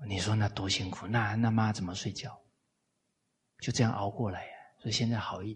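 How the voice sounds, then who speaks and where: A man speaks at a fairly quick pace with long, frequent pauses. His intonation is monotone and flat. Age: 40s. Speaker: lecturer on Confucian classics. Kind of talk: lecture. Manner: frequent filler particles.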